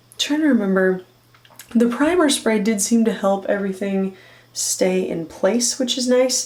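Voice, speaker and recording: A woman speaks at a fairly slow pace with lively intonation over noticeable background noise. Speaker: beauty YouTuber and burlesque performer. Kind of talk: casual vlog talk to camera. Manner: animated.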